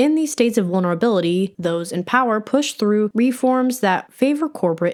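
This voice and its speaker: The recording is very clean, with a silent background. A woman with an ordinary speaking voice talks at a moderate pace with lively intonation. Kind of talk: documentary-style narration.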